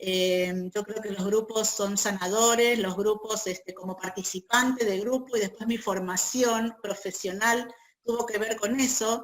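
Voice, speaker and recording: A woman with a Buenos Aires accent and monotone, flat intonation. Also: fairly slow pace. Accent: Buenos Aires (porteño). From Argentina, Buenos Aires. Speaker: feminist peace activist and group facilitator. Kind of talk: interview.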